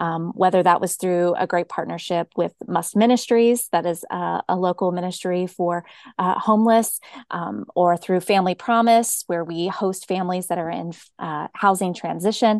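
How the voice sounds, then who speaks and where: A woman with an American accent has an unremarkable speaking voice at a medium pitch, talking at a moderate pace with fairly even intonation in a dry, close sound with no echo. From US South, Georgia (Cobb County). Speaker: pastor. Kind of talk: interview conversation.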